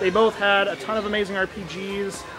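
Against noticeable background noise, a man speaks at a high pitch. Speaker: video game collector vlogger. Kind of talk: casual vlog chat. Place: market. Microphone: phone near.

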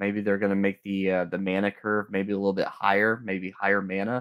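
A man speaks with an American accent at a fairly low pitch. The background is quiet. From US South, Florida Panhandle; Florida. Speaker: card game player and judge; judge. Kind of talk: casual livestream discussion. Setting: remote call into livestream. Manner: halting. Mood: uncertain, speculative, relaxed. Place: home room. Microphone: video call.

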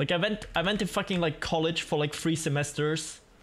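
Pitch varies in an ordinary way while the words come fairly quickly. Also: man. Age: 20s. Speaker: gaming streamer. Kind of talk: casual live-stream chat while gaming. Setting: home streaming setup with microphone. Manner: animated. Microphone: studio mic.

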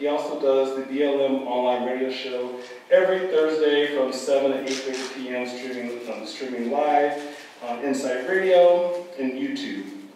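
Strong room echo fills the clip, along with light background noise. The speech moves at a fairly slow pace. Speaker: moderator, professor. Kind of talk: formal introduction. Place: hall. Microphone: camera far.

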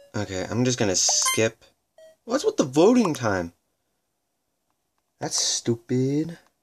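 Music plays in the background. The speech moves at a very slow pace with long, frequent pauses. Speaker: gaming youtuber. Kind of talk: gameplay commentary. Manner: animated.

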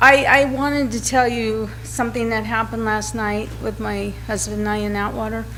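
Audible room echo and noticeable background noise accompany a woman who speaks with hardly any pauses. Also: moderate pace. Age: 60s. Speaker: resident giving public comment. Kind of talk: public comment at council meeting. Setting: city council chamber podium. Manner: halting, repeating words.

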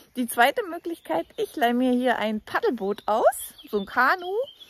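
At a fairly slow pace, a woman talks in a high pitch, recorded with a dry sound and no echo. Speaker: travel vlogger. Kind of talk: casual vlog chat. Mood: cheerful, laughing. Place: waterside. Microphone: phone near.

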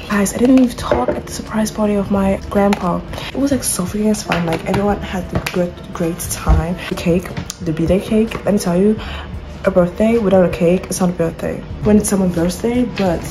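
A woman talks at a fairly quick pace with ordinary pitch variation. Music plays clearly in the background. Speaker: vlogger. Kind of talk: casual vlog chat. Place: kitchen. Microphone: phone near.

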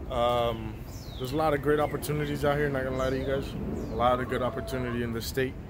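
Noticeable noise sits behind a man speaking at a very fast pace. His pitch is medium, with ordinary variation. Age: 20s. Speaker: vlogger. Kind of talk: casual talk to camera. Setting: outdoors. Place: garden. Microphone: phone near.

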